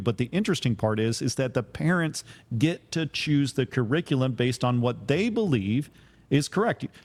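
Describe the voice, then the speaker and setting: In a very clean recording with a silent background, a man with a normal speaking voice talks at a moderate pace and medium pitch, with ordinary pitch variation. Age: 40s. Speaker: criminal defense attorney and podcast host. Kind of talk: casual podcast chat.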